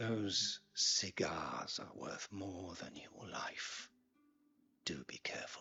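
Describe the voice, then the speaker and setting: A man whispers in a put-on character voice at a very slow pace. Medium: video game. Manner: cold, imperious.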